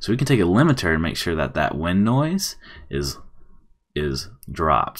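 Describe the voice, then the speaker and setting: A man speaks at a moderate pace with a very deep, low pitch and vocal fry. The recording is very clean, with a silent background. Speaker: video editing tutorial creator. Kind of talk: tutorial.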